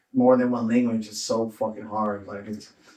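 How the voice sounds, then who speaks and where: Speaking in a normal speaking voice with an American accent, a man keeps a moderate pace and fairly even intonation. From Southern California, Orange County. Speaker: stand-up comedian. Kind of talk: casual chat.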